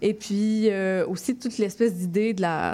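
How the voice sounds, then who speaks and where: Here a woman speaks with a dark, mellow tone. Her intonation is fairly even and her pace moderate. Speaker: poet and zine artist. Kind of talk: casual interview.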